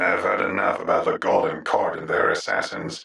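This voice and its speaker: The man's delivery moves at a moderate speed. His voice is a raspy, put-on character voice. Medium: audio drama. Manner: calm, measured.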